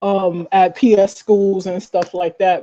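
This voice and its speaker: A woman talks at a medium pitch while music plays in the background. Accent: American. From US Northeast (Flatbush, Brooklyn, New York). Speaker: recording artist and songwriter. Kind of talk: interview. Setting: live podcast.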